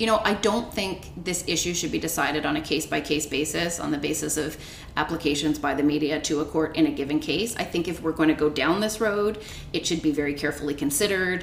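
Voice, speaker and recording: With a Canadian accent, a woman speaks at a fairly quick pace in a very deep, low pitch with ordinary pitch variation. Noticeable background noise is present. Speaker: law professor, podcast co-host. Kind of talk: casual legal discussion.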